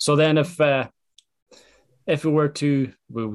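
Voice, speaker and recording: A man in an Irish accent, in a very clean recording with a silent background. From Ireland. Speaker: podcast host. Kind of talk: interview chat.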